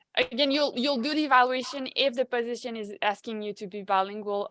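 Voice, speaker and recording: This woman has a French accent and a bright, sharp tone with ordinary pitch variation. The sound is dry and close, with no echo. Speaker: human resources advisor. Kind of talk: virtual Q&A webinar. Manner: halting, many fillers.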